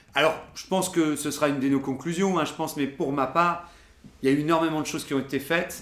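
This man talks at a very fast pace, his pitch fairly high. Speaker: podcast host. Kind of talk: casual chat. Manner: halting, many filler words.

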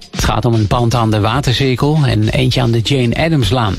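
At a moderate pace, a man talks against noticeable background noise. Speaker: local news reader. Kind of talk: news reading. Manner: formal, steady.

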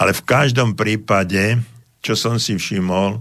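Here a man talks at a fairly slow pace. His pitch varies in an ordinary way. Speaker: psychologist and radio host. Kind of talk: radio advice call-in show. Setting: radio studio. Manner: loud, not soft.

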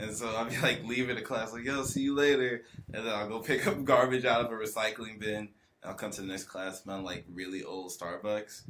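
A man delivers his words at a fairly quick pace while noticeable background noise carries on. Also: medium pitch for a man, ordinary pitch variation. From Atlanta, Georgia. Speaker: rapper. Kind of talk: casual chat.

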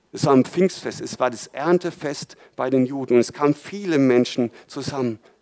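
An ordinary speaking voice from a man, fairly high in pitch with ordinary pitch variation, delivered at a moderate pace in a dry, close sound with no echo. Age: 40s. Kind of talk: sermon.

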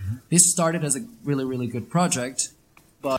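This man's voice sits fairly high and is somewhat breathy. His pitch varies in an ordinary way. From Venezuela, Caracas. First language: Spanish (speaking Slovak). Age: 20s. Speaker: interviewee on life in Venezuela. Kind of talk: interview with interpreter.

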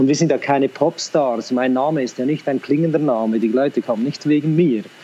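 Noticeable background noise accompanies a man with medium pitch and ordinary pitch variation. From Central Switzerland, Lucerne. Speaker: school principal and teacher. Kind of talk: interview conversation.

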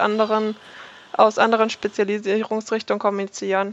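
A woman with a normal speaking voice talks at a moderate pace at a fairly high pitch, and the sound is dry and close with no echo. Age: 20s. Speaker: game design student. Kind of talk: interview.

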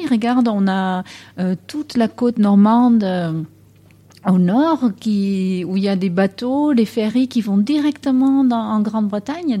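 A woman speaks at a fairly slow pace with a fairly high pitch and lively intonation. Her tone is dark and mellow and somewhat breathy. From Netherlands. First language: Dutch (speaking French). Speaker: English teacher. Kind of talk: interview.

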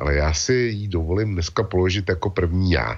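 Over a quiet background, a man with an unremarkable speaking voice talks at a fairly slow pace with lively intonation. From Czech Republic. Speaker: web portal founder and commentator. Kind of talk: casual discussion.

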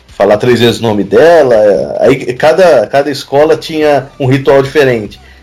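Fairly high in pitch, a man speaks in an unremarkable speaking voice at a moderate pace with very even loudness. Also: ordinary pitch variation. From Brazil, São Paulo state. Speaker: podcast co-host. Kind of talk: casual chat.

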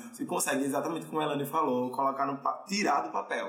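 With music in the background and audible room echo, a man speaks at a fairly high pitch and a fairly quick pace. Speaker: podcast host. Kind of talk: casual chat. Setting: studio.

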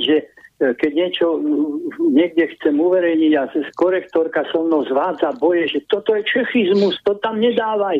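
Lively intonation comes through at a fairly slow pace, with very even loudness. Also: man. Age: 70s. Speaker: handball coach. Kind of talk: casual chat. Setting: phone call.

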